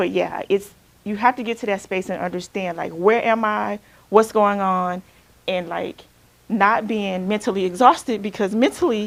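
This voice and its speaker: The recording is very clean, with a silent background. A woman talks at a medium pitch with fairly even intonation. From Alabama, US South. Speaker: counselor. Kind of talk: workshop talk. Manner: fast; loud.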